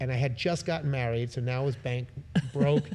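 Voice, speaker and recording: Here is a man with a plain, everyday voice and an American accent. His pitch sits in the medium range with ordinary pitch variation. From New York (Brooklyn). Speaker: musician. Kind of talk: casual interview. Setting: live podcast venue.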